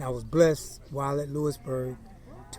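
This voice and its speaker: This man talks at a moderate pace with an American accent, his pitch fairly high and his intonation flat and monotone. Background noise is noticeable. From eastern North Carolina, Greenville. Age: 60s. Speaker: minister and former baseball player, oral history interviewee. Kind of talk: oral history interview.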